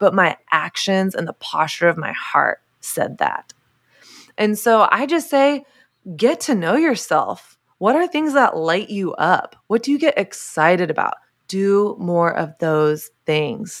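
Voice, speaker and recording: A woman with an American accent speaks at a medium pitch and a fairly slow pace, her pitch swinging very widely. The recording is very clean, with a silent background. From US South. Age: 30s. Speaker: author and speaker. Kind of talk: interview.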